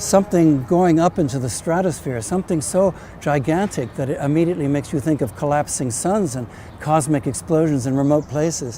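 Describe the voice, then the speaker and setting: A fairly high male voice with an American accent, fairly quick pace and ordinary pitch variation, over noticeable background noise. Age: 70s. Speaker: novelist. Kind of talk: personal testimony. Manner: halting.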